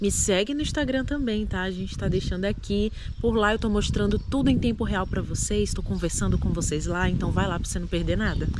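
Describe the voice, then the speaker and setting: A woman talks at a fairly quick pace with hardly any pauses, her voice carrying audible room echo over noticeable background noise. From Brazil, Recife (Pernambuco). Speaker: immigrant vlogger. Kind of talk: casual chat.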